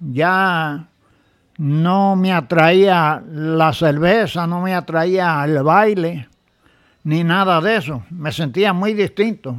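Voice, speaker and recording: On a very clean recording with a silent background, a high-pitched man talks at a very slow pace with ordinary pitch variation. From Puerto Rico. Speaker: church member giving testimony. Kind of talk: testimony.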